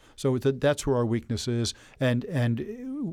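A man with an American accent speaks at a moderate pace. His tone is dark and mellow, and the recording is very clean with a silent background. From New Jersey, Elizabeth. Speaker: business founder and advocate. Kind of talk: interview. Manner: halting, many fillers and repeated words.

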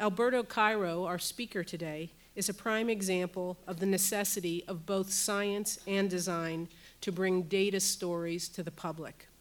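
At a moderate pace, a woman uses a plain, everyday voice with medium pitch and fairly even intonation. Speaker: university professor and center director. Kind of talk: welcome and speaker introduction. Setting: stage with audience.

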